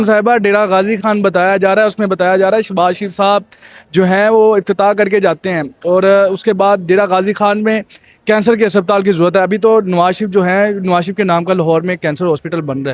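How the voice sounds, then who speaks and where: Fairly even intonation in a man's high voice. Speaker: street interviewer. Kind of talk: street interview questions.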